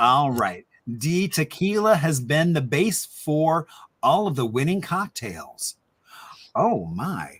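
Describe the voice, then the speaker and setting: Very slow speech with an American accent and very wide pitch swings. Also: man, fairly high pitch for a man. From Indiana. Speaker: historian hosting a trivia happy hour. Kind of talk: casual quiz hosting. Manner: animated.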